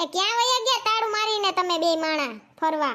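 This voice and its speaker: In a cartoonish character voice, a woman squeaks at an extremely high pitch with very wide pitch swings. She holds a moderate pace and very even loudness. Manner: chatty, gossipy.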